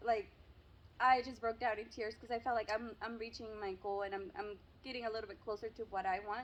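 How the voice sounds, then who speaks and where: A woman talks with a Spanish accent at a moderate pace. Her pitch is fairly high. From Mexico. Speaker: YouTuber. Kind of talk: casual interview.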